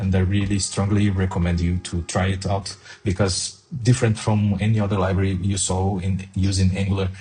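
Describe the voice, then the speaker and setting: With music in the background, a man with a non-native accent and a very deep, low pitch talks at a moderate pace in a monotone, flat manner. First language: not English. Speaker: software developer. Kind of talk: tutorial. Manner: hesitant, frequent fillers.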